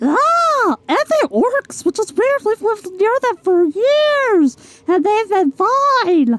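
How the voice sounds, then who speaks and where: A woman does a put-on character voice, squeaky and extremely high in pitch. She speaks at a very slow pace with very wide pitch swings. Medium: actual play. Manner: nervous, hesitant.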